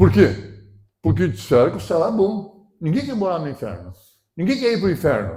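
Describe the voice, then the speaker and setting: A man with a dark, mellow tone talks at a moderate pace, his pitch swinging very widely. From southern Brazil, Rio Grande do Sul. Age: 70s. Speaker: pastor. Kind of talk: sermon. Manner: animated.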